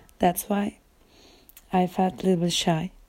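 A woman speaks with a Turkish accent. Her tone is dark and mellow, at a medium pitch. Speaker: podcaster. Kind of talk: casual monologue. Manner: halting.

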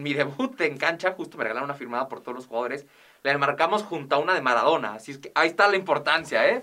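In a bright, sharp tone, a man speaks at a very fast pace with ordinary pitch variation and big swings in loudness. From northern Mexico, Ciudad Juárez. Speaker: sports commentator. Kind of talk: casual chat. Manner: halting.

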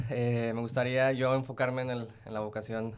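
At a moderate pace, a man speaks with a Mexican accent at a medium pitch. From Mexico. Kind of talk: casual interview.

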